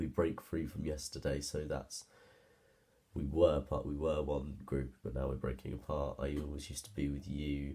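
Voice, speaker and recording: A man talks at a moderate pace in a very deep, low pitch with vocal fry. His tone is dark and mellow. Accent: British. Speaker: music student. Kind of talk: presentation. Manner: halting.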